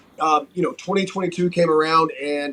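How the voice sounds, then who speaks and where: Over noticeable background noise, a man talks at a fairly quick pace with an American accent. His pitch is fairly high. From North Carolina, Wilmington. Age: 40s. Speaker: pro wrestler. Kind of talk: interview.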